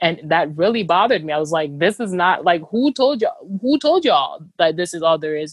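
An unremarkable speaking voice from a woman, fairly low in pitch, with lively intonation and a fairly quick pace. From Cameroon, moved to the US at about 13. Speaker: humanitarian worker and travel writer. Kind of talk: casual interview. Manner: frequent fillers and restarts.

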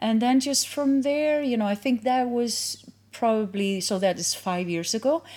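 With a fairly high pitch and ordinary pitch variation, a woman talks at a moderate pace. Her tone is dark and mellow, and she hardly pauses. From Iceland. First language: Icelandic. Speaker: yoga instructor and studio owner. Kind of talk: casual interview. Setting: yoga studio.

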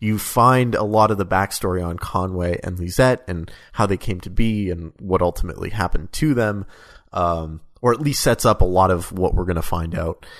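Very deep and low, a man's voice moves at a moderate pace. His pitch varies in an ordinary way. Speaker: podcast co-host. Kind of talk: casual chat about a video game.

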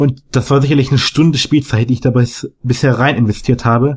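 A man talks at a very fast pace in a flat monotone. His medium-pitched voice sounds somewhat breathy. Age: young. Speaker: gamer guest. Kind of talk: casual chat. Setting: remote call.

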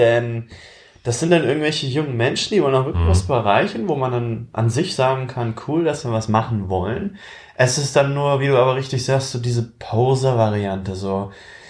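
A man talks at a moderate pace and medium pitch, somewhat breathy. His intonation is lively. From eastern Germany (Magdeburg). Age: 20s. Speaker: aspiring young entrepreneur and student. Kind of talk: casual chat.

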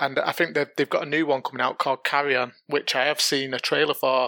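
At a fairly quick pace, the voice has a bright, sharp tone, monotone, flat intonation and very even loudness. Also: man, dry, close sound with no echo. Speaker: longtime listener. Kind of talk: casual chat.

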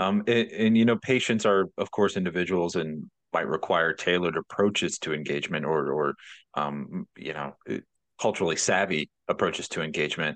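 The speaker goes at a moderate pace with ordinary pitch variation. The sound is dry and close with no echo, over a quiet background. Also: man, very deep, low pitch for a man. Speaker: podcast host. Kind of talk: interview.

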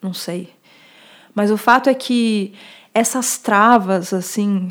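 A woman speaks with a São Paulo accent in a very clean recording with a silent background. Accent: Paulistano Brazilian Portuguese. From Brazil, São Paulo. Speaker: journalist and urbanism speaker. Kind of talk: casual interview conversation.

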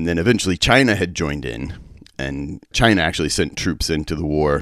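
A man with an American accent speaks in a very deep, low pitch with vocal fry. His pace is fairly quick. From West Texas. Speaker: church peace worker. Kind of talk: interview. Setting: remote recording.

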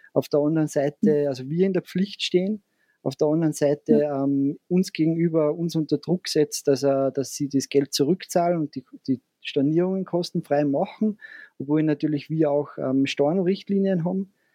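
In an Austrian accent, a man with a fairly high pitch and a dark, mellow tone talks at a moderate pace, the sound dry and close with no echo. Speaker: hotelier. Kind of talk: interview.

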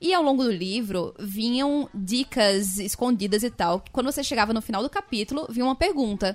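A normal speaking voice from a woman, fairly high in pitch, with lively intonation and a fairly quick pace. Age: 20s. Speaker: podcast co-host. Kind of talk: casual chat.

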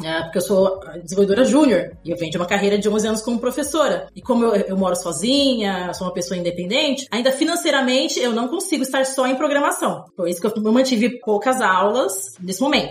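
A very fast delivery with very wide pitch swings and hardly any pauses, over noticeable background noise. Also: woman, fairly high pitch for a woman. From São Paulo, Brazil (Zona Leste). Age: 30s. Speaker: junior software developer and former teacher. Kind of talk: interview.

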